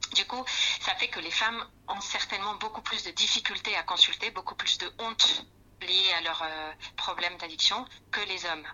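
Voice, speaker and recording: Pausing long and often, a woman talks at a moderate pace and a medium pitch with ordinary pitch variation. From Spain. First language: Spanish (speaking French). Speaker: clinical psychologist. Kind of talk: expert interview. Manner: halting.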